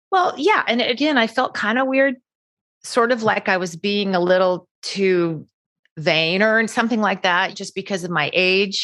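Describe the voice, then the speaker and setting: At a fairly slow pace, a woman uses an ordinary speaking voice, medium in pitch with ordinary pitch variation. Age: 60s. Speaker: cosmetic surgery patient. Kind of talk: interview.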